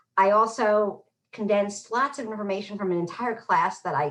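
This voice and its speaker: This is a woman speaking. She talks in a New York accent. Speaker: public health professor. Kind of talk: lecture. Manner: fast.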